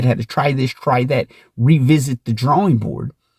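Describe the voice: A man speaks at a fairly quick pace and medium pitch, his slightly mellow tone carrying a slightly husky edge and ordinary pitch variation, in a very clean recording with a silent background and a dry, close sound with no echo.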